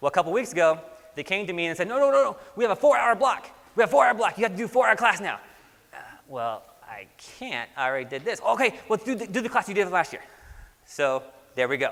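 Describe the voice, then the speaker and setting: A man with a high pitch, an animated tone, very wide pitch swings and a very fast pace broken by long, frequent pauses. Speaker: environmental inspection supervisor, trainer. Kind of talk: lecture. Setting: conference classroom with audience. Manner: casual, animated.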